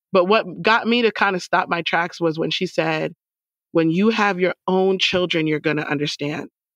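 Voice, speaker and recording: With a plain, everyday voice, a woman speaks at a moderate pace, her fairly low pitch varying in an ordinary way, the sound dry and close with no echo. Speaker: book club co-host. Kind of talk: casual book club discussion.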